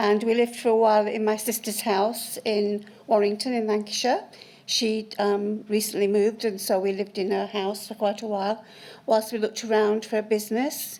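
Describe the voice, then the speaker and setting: Flat, monotone speech at a moderate pace over noticeable background noise. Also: woman. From South Yorkshire, Barnsley. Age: 60s. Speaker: witness at a public inquiry. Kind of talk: witness testimony.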